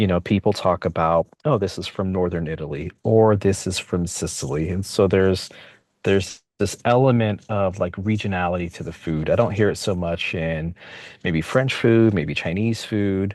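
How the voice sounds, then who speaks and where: In a Californian accent, a man with a very deep, low pitch speaks at a moderate pace with ordinary pitch variation, against a quiet background. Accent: Californian American English. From San Francisco, Bay Area (born in Mexico, moved at four). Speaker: interviewee, local community member. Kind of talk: casual interview. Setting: podcast recording.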